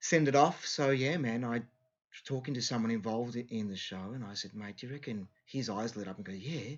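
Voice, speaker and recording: A man with an Australian accent, speaking at a fairly quick pace with hardly any pauses. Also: medium pitch for a man, ordinary pitch variation. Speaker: singer. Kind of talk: interview. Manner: halting.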